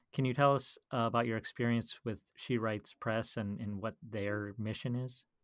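A man speaks in a medium pitch with an Upper Midwest accent. The recording is very clean, with a silent background. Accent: Upper Midwest American. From Minnesota. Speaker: podcast host. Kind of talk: interview; scripted introduction.

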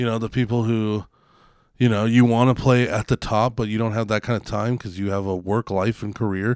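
Recorded very cleanly against a silent background, with a dry, close sound and no echo, a man speaks at a fairly quick pace and a medium pitch. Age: 30s. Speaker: podcast co-host. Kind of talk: casual chat. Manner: animated.

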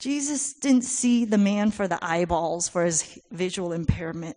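A woman's somewhat breathy, dark and mellow voice at a medium pitch, with lively intonation, a very slow pace and a quiet background. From Taiwan. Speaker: missionary. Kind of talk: testimony. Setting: church.

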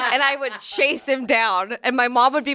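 A woman with a Californian accent has a bright, sharp tone. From Central California. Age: 30s. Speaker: comedian. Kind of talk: casual chat.

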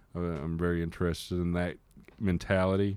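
A man with a Texan accent speaks at a moderate pace in a very deep, low voice. His tone is dark and mellow, and the recording is very clean with a silent background. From Texas, Fort Worth. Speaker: music marketing and distribution manager. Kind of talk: interview. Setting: studio. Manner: halting, many fillers and repetitions.

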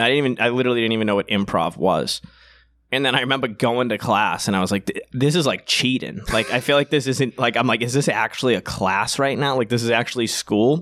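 A man with a strong Boston accent at a medium pitch, ordinary pitch variation, a very fast pace and very even loudness, in a very clean recording with a silent background. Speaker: comedian. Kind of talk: casual chat.

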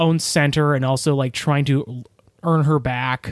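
A man with a plain, everyday voice speaks at a fairly slow pace with fairly even intonation. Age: 30s. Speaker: podcast co-host. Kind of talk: casual chat.

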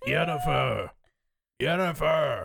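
A man's gruff, gravelly, raspy put-on character voice

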